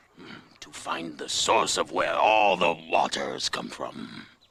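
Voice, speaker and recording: In a put-on character voice, a man growls at a fairly low pitch and a fairly slow pace, with big swings in loudness. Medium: cartoon. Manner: slow, musing, with thoughtful hums.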